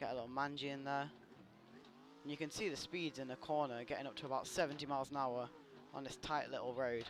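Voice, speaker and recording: A man talks at a very fast pace, broken by long, frequent pauses. His voice is fairly high with fairly even intonation. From Britain. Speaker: gaming streamer and drifter. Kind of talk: live gameplay commentary. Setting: live stream. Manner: casual, chatty.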